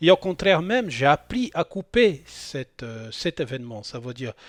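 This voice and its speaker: A man with a non-native accent speaks at a moderate pace, his pitch swinging very widely, in a dry, close sound with no echo. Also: very clean recording, silent background. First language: not French (speaking French). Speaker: spiritual channel host. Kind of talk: spoken monologue on spirituality. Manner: hesitant, many fillers and repetitions.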